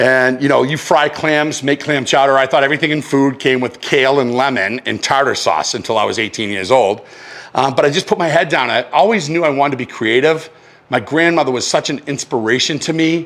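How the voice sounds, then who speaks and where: A fairly quick-paced man at a fairly high pitch with ordinary pitch variation. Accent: Boston. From Massachusetts. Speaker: chef. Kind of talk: casual chat; cooking demonstration. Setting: home kitchen. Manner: animated.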